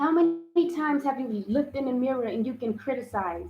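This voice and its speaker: A woman is speaking. Her voice sits high in pitch. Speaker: spiritual self-help livestreamer. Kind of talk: livestream self-help talk. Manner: halting; animated.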